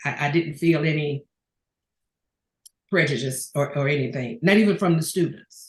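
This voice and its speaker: A woman speaks at a moderate pace in a very deep, low voice that is somewhat breathy, with ordinary pitch variation. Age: 70s. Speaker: retired public administrator and doctoral student. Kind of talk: interview.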